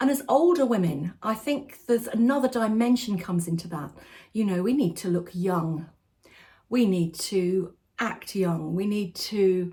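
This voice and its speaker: A woman with an English accent speaks at a moderate pace, her pitch swinging very widely. Her tone is dark and mellow, and somewhat breathy. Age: 60s. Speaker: lifestyle vlogger. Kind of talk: direct-to-camera vlog talk. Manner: conversational.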